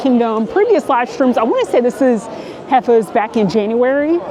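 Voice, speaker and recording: Over noticeable background noise, a woman with a fairly high pitch speaks at a moderate pace, her intonation lively and her tone animated. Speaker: travel and food vlogger. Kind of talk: casual vlog walk-through. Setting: outdoors in a crowded theme park.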